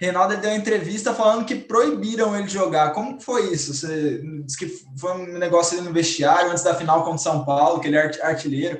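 A man's high-pitched, fairly quick speech with ordinary pitch variation, audible room echo and noticeable background noise. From Brazil, Cuiabá. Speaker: football fan panelist. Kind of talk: casual chat.

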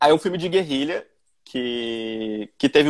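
Here a man speaks in a normal speaking voice. His pitch is fairly high, with ordinary variation. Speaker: short film director. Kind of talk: casual online interview. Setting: video call.

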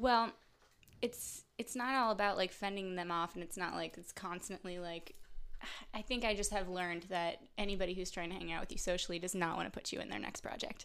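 In a very clean recording with a silent background, a woman with a plain, everyday voice speaks fairly quickly at a medium pitch with fairly even intonation. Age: young. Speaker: podcast guest. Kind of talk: casual chat.

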